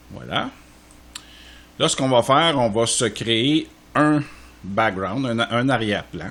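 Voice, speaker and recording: A man with a Quebec accent at a very slow pace, with long, frequent pauses and noticeable background noise. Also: medium pitch for a man, ordinary pitch variation. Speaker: software tutorial creator. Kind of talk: tutorial. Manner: casual, with frequent hesitations.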